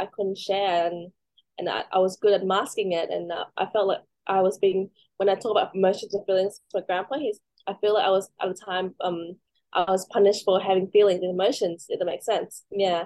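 At a fairly quick pace, a woman with an Australian accent speaks at a medium pitch with monotone, flat intonation. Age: 30s. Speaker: mental health peer worker and pageant contestant. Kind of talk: casual interview. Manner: halting, many fillers.

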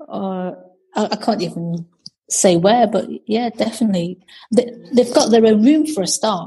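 Leaving long, frequent pauses, a somewhat breathy woman speaks with a dark, mellow tone, a fairly high pitch and ordinary pitch variation. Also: moderate pace. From Britain, Chinese family. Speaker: guest, host's sister. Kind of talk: casual chat, interview with sister.

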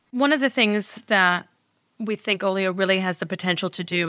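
With an American accent, a woman speaks at medium pitch and a moderate pace in a bright, sharp tone, in a very clean recording with a silent background. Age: 40s. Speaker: entrepreneur. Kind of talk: interview.

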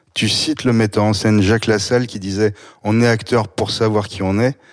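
This man has a plain, everyday voice, pitched fairly low. He talks at a moderate pace. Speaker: podcast host. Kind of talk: interview.

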